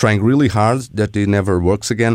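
Here a man talks with a Portuguese accent. He moves at a fairly quick pace. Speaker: radio host. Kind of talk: interview.

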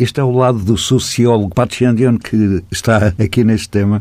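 The speaker is a man. His pitch is fairly low. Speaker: radio host. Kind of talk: interview.

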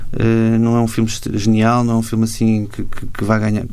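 At a fairly quick pace, a man speaks with a medium pitch and a dark, mellow tone, and the room echo is audible. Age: 40s. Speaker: cartoonist and illustrator. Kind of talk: interview.

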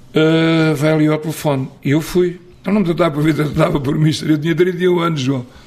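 At a fairly quick pace, a man with an unremarkable speaking voice talks in a fairly high pitch, with fairly even intonation and very even loudness. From Portugal, Abrantes area then Coimbra. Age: 60s. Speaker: football coach. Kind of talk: interview. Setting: on location in Coimbra.

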